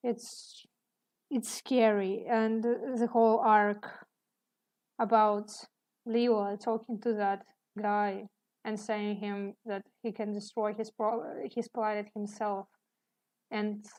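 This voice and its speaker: A woman with a non-native accent talks at a fairly high pitch in a monotone, flat intonation against a quiet background. Her pace is very slow, with long, frequent pauses. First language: not English. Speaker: artist streaming while drawing. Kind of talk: casual live stream chat. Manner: hesitant, many fillers.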